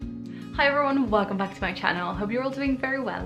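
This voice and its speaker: Amid audible room echo and noticeable background noise, a woman talks very fast with ordinary pitch variation. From Spain. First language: Spanish. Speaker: YouTuber. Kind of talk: casual chat. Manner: casual and chatty.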